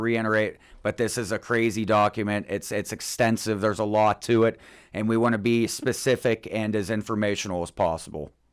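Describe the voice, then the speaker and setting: Fairly even intonation and a fairly quick pace come through on a very clean recording with a silent background. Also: man. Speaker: podcast co-host. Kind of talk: casual chat. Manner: fast.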